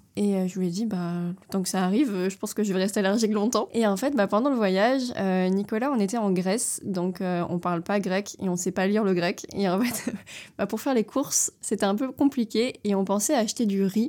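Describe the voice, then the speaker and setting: A woman's medium-pitched voice with a dark, mellow tone at a fairly quick pace, on a very clean recording with a silent background. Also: ordinary pitch variation. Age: 20s. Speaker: traveler and entrepreneur. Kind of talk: casual interview. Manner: fluid.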